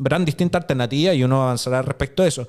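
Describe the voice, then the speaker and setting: A man speaks in a Chilean accent. Nothing else can be heard in the background. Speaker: podcast host. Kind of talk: casual chat. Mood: engaged, animated. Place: studio. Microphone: studio mic.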